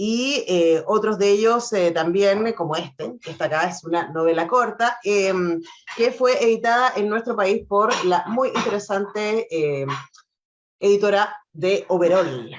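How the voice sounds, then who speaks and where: At a fairly slow pace, a woman of medium pitch speaks with ordinary pitch variation. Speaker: radio host. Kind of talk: interview.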